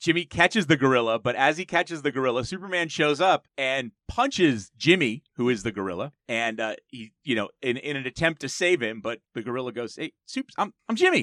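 In a plain, everyday voice, a man with an American accent speaks quickly and with hardly any pauses, his medium pitch moving in lively intonation over a dry, close sound with no echo. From New Jersey, Jersey Shore. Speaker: podcast host discussing comic books. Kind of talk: casual chat.

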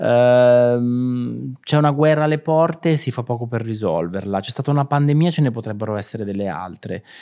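Dark and mellow in tone, a man speaks at a fairly quick pace and medium pitch with ordinary pitch variation on a very clean recording with a silent background. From Italy, Marche (Ancona province). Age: 40s. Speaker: creative director and stylist. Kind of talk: interview.

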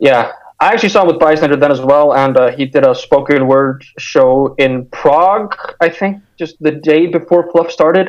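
A man with a normal speaking voice and fairly high pitch talks with ordinary pitch variation. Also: moderate pace. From Iceland, also Denmark and the United States. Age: 20s. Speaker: hardcore punk musician. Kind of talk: casual interview chat.

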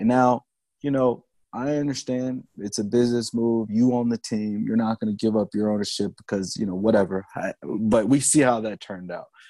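In a dry, close sound with no echo and a quiet background, a man with an ordinary speaking voice talks at a moderate pace, with a medium pitch for a man and fairly even intonation. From Chicago, West Side. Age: 30s. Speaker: podcast host. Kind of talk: casual chat.

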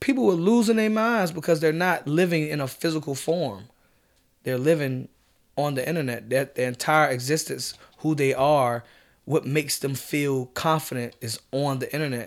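Heard on a very clean recording with a silent background, a man with an unremarkable speaking voice and a fairly high pitch talks at a moderate pace with lively intonation. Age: 20s. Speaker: rapper. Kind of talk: interview.

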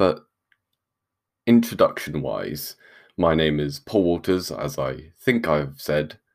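In a British accent, the speaker talks very slowly with long, frequent pauses, vocal fry, and lively intonation. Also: man, very deep, low pitch for a man. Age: 20s. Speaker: podcast host and university student. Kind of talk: solo religious podcast talk. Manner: hesitant, many fillers.

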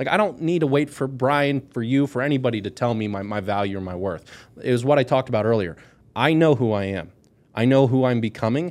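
At a very fast pace, a man speaks with lively intonation. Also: medium pitch for a man. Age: 20s. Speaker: author and life coach. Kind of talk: casual chat.

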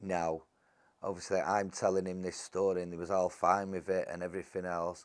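Speaking at a fairly quick pace, a man with a very deep, low voice keeps a monotone, flat intonation on a very clean recording with a silent background. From Salford, Greater Manchester, England. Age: 50s. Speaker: former prisoner turned author. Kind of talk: interview storytelling.

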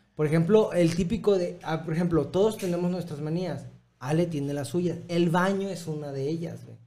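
Dark and mellow in tone, the voice has fairly even intonation and big swings in loudness, with audible room echo. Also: man, high pitch for a man, moderate pace. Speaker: podcast host. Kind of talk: casual chat.

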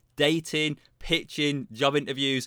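On a very clean recording with a silent background, a man's voice sounds dry and close, with no echo. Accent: British. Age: 40s. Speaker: career coach and author. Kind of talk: casual interview.

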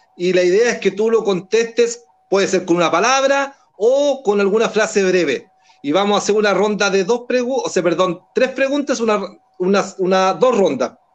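Ordinary pitch variation at a moderate pace with very even loudness. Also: man, high pitch for a man. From Chile, Talagante. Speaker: community online show co-host. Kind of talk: casual interview show.

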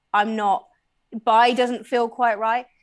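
Fairly high-pitched, a woman with a West Country accent is heard on a very clean recording with a silent background. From Bristol, England. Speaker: sex positive advocate. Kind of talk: casual interview chat.

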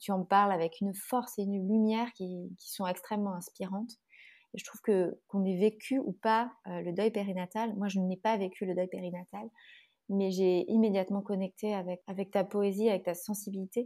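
A woman with a medium pitch and a dark, mellow tone speaks at a moderate pace in monotone, flat intonation, with big swings in loudness. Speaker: podcast host and doula. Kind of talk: interview. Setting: video call. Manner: laughs often.

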